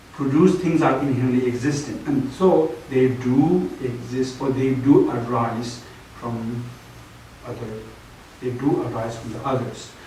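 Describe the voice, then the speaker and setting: A man with a Tibetan accent and medium pitch speaks in fairly even intonation with big swings in loudness, amid noticeable background noise and audible room echo. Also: fairly slow pace. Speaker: Buddhist teacher. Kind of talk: dharma teaching lecture. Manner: halting, many fillers.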